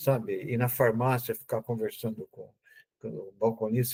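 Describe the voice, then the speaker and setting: The sound is dry and close, with no echo. A man speaks in a somewhat breathy voice. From Brazil, São Paulo. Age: 70s. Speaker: pathology professor, physician. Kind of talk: podcast interview. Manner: hesitant, with false starts.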